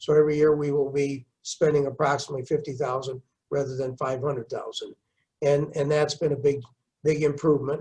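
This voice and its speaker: Somewhat breathy and at a fairly quick pace, the voice stays monotone with flat intonation. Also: man. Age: 70s. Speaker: mayor. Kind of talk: interview. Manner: halting, repeats words.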